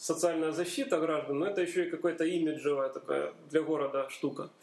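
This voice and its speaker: There is noticeable background noise. Over it, a man speaks at a high pitch. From Donbas, Ukraine (Horlivka). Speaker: university chemistry lecturer. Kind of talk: casual interview.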